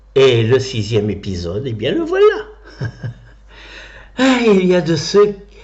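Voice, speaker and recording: A man with a somewhat breathy voice and a theatrical tone, speaking at a very slow pace. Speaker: stage actor and former opera singer. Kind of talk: one-man show storytelling. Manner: theatrical, humorous.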